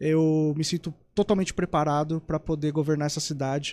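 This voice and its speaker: The recording is very clean, with a silent background and a dry, close sound with no echo. A man speaks fairly quickly at a fairly high pitch. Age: 30s. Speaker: mayoral candidate. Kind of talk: political interview. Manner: formal.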